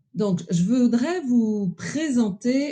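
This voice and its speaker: With lively intonation, a woman speaks in a somewhat breathy, dark, mellow tone. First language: French. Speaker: expert presenter. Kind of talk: presentation with slides.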